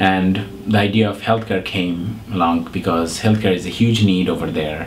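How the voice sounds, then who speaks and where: A man speaks with a very deep, low pitch and ordinary pitch variation at a moderate pace. The room echoes audibly, and background noise is noticeable. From Bangladesh. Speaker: nonprofit founder and CEO. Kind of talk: interview. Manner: hesitant, many fillers.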